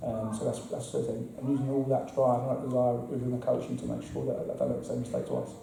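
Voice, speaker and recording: A man talking at a very fast pace with hardly any pauses, amid noticeable background noise and audible room echo. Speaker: football assistant manager. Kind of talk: interview. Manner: halting, repetitive.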